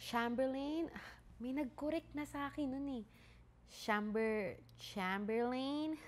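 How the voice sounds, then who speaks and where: At a very slow pace, a woman speaks in a high pitch. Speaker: podcast host. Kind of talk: casual podcast monologue. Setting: home, mother's flat. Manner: softer than usual, keeping quiet.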